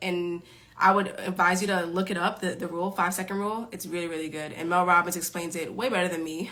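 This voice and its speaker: With a New York accent, a woman speaks at a medium pitch in a bright, sharp, animated tone. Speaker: time management coach. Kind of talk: live stream Q&A. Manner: fast.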